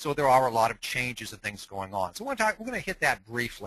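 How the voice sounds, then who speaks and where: A man with an American accent speaks at a very fast pace in a bright, sharp tone with very wide pitch swings against a quiet background. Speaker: dentist and lecturer on dental technology. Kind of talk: webinar lecture. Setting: online webinar.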